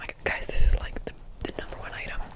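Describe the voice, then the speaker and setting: Very fast whispering in an American accent is heard over noticeable background noise. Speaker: ASMR creator. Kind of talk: ASMR whisper rambling. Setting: studio, close-mic at home. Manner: fast, whispered, repetitive.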